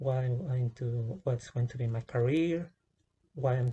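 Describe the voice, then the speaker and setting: Somewhat breathy and dark, mellow in tone, a man speaks at medium pitch and a fairly slow pace with fairly even intonation. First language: not English. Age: 20s. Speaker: vlogger. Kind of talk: personal testimony vlog. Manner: halting, many fillers and restarts.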